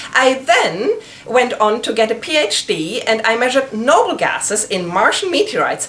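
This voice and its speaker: Speaking in a German accent at a moderate pace, a woman uses a high pitch with very wide swings, over noticeable background noise. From Germany. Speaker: planetary scientist, lecturer. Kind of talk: informal educational presentation.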